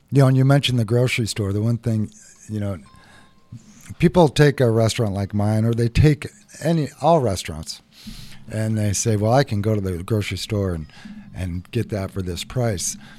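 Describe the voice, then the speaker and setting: Speaking with an American accent, a man with a fairly low pitch and ordinary pitch variation leaves long, frequent pauses. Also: moderate pace. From Seattle, Ballard. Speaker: chef and restaurant owner. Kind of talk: radio interview.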